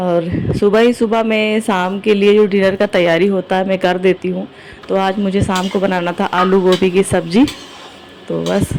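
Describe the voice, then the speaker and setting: Noticeable background noise sits behind a woman's voice. She talks at a moderate pace with a medium pitch. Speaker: vlogger and shopkeeper. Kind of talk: vlog voiceover narration. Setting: home kitchen. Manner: casual conversational.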